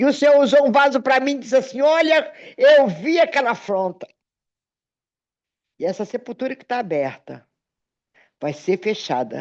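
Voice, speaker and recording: This woman speaks at a moderate pace with a high pitch, lively intonation and big swings in loudness. She leaves long, frequent pauses against a quiet background. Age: 60s. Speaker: pastor. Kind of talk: sermon with personal testimony.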